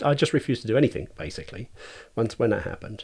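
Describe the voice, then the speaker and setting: There is vocal fry in this man's voice. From Cambridgeshire, England. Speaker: artist. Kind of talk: casual chat.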